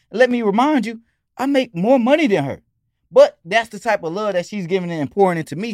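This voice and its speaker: With an American accent, a man talks at a fairly quick pace in a high pitch with lively intonation, on a very clean recording with a silent background. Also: big swings in loudness. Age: 30s. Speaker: rapper and dancer. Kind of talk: casual chat.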